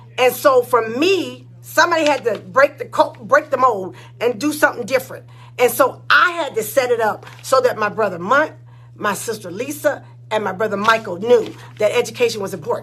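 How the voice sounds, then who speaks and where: Over noticeable background noise, a woman speaks at a moderate pace in an animated tone. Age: 60s. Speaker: nurse and church choir director. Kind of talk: inspirational talk on a livestream. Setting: live stream.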